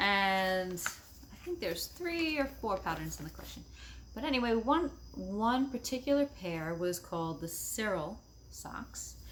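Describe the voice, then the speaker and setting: A woman talks with a New York accent. Her pace is very slow. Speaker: knitting podcaster. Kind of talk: casual chat.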